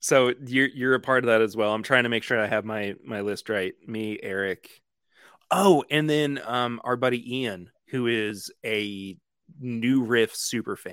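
A man with an unremarkable speaking voice, medium pitch, ordinary pitch variation, and a fairly slow pace. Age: 20s. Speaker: whiskey podcaster and musician. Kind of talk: casual chat.

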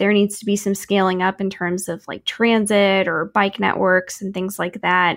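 With a Midwestern American accent, a woman speaks at a moderate pace and medium pitch on a very clean recording with a silent background. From Kansas City, Missouri. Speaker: podcast host, urban planner. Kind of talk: casual interview.

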